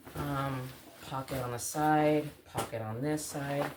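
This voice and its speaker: A soft-spoken voice over noticeable background noise. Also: woman. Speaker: outdoor vlogger. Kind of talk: casual gear show-and-tell vlog. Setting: at home early morning. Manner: quiet, soft-spoken.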